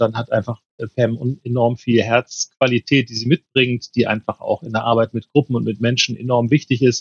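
A man talks at a moderate pace and medium pitch. His voice is somewhat breathy. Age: 50s. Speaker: mediator and trainer. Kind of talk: casual chat.

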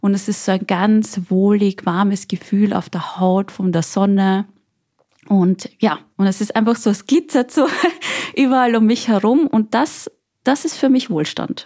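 An unremarkable speaking voice from a woman at medium pitch, with ordinary pitch variation and a fairly slow pace. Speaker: guest. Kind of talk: casual chat.

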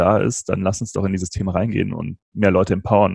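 With an ordinary speaking voice and fairly low pitch, a man talks in fairly even intonation, recorded with a dry, close sound and no echo. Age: 30s. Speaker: podcast host and entrepreneur, interview guest. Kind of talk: casual interview.

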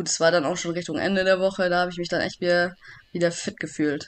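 Her pitch is medium for a woman. She speaks at a very fast pace. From Swabia, Germany (Backnang). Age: 30s. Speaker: judoka, Olympic athlete. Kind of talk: casual interview.

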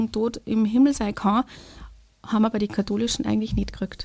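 A woman with a dark, mellow tone and fairly even intonation is heard on a very clean recording with a silent background. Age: 40s. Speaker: kindergarten language support worker. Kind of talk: testimony.

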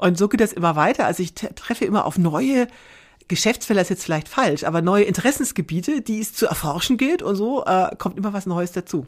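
A woman with an ordinary speaking voice talks at a fairly quick pace. Her pitch is medium, and her intonation is lively. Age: 50s. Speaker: long-distance hiker, former manager. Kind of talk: interview.

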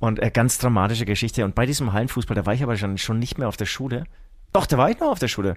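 Very fast speech with ordinary pitch variation, on a very clean recording with a silent background. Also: man, medium pitch for a man. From Franconia, Bavaria (Herzogenaurach). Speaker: rock musician. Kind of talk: casual chat.

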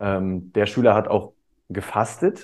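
A man talks in a normal speaking voice, his pitch rising and falling by an ordinary amount. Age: 30s. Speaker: teacher and coach. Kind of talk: casual chat.

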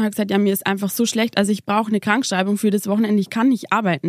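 A woman with a Bavarian accent, heard in a dry, close sound with no echo. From Lower Bavaria. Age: 20s. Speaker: mother, former nurse. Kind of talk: interview testimony. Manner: hesitant with many fillers.

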